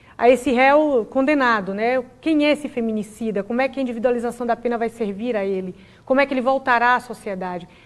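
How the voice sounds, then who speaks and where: Talking at a very fast pace with hardly any pauses, a woman with a Bahian accent uses a high pitch and ordinary pitch variation over a quiet background. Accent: Bahian Brazilian Portuguese. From Brazil, Bahia. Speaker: public prosecutor. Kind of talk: TV interview. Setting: TV studio, live broadcast. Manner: formal.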